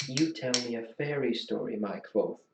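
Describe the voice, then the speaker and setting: Quietly, a man with a medium pitch performs a put-on character voice. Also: moderate pace. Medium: read story. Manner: quiet, with menace beneath the softness.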